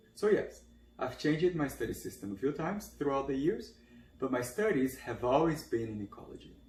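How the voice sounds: At a moderate pace, a man talks at medium pitch with lively intonation and a slightly mellow tone.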